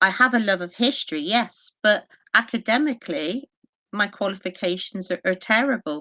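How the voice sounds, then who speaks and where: A woman with a Bristolian accent speaks at a medium pitch with lively intonation and a bright, sharp tone, the sound dry and close with no echo over a quiet background. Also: moderate pace. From Bristol, England. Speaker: historian and paranormal investigator. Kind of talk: podcast interview.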